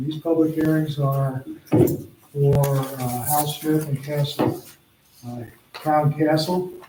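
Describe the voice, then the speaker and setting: A man speaks at a very slow pace with a fairly high pitch. Audible room echo surrounds his voice. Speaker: planning board chairman. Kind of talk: public meeting, reading agenda and procedure. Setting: town board meeting. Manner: halting.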